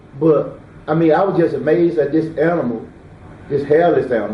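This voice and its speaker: With a Mississippi Delta accent, a man speaks at a fairly high pitch amid audible room echo. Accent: Southern US (Mississippi Delta). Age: 60s. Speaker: eyewitness. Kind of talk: interview. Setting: at home.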